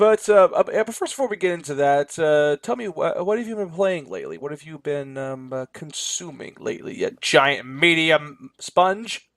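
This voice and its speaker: Lively intonation and big swings in loudness at a moderate pace, with a dry, close sound and no echo. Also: man, high pitch for a man. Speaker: podcast host. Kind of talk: casual chat. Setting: recording booth.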